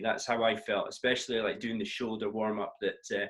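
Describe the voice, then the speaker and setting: A man talks with a northeast Scottish accent. His pace is fairly quick. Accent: north-east Scottish. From Scotland, north-east (Doric area). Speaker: tennis coach and co-host. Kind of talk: casual chat.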